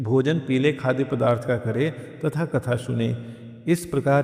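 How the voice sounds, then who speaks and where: Against noticeable background noise, a man speaks in a calm tone at a medium pitch. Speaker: devotional chant and story reader. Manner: calm, devotional.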